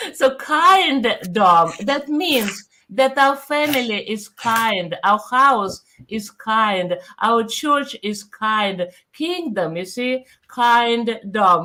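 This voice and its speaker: Bright, sharp in tone, the voice has lively intonation. It moves at a very slow pace. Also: woman, fairly high pitch for a woman. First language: Russian. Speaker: pastor. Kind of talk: casual chat.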